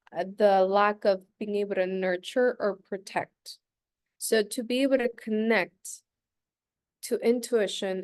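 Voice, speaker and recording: A woman talks at a fairly slow pace. Her voice sits at a medium pitch. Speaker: spiritual coach hosting live Q&A. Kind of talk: live Q&A talk.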